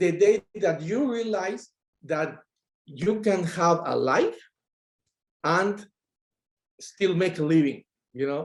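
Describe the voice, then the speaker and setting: In a Mexican accent, the speaker goes at a very slow pace with long, frequent pauses. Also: man, high pitch for a man, ordinary pitch variation. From Mexico. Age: 60s. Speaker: affiliate marketer. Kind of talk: interview answer. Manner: energetic.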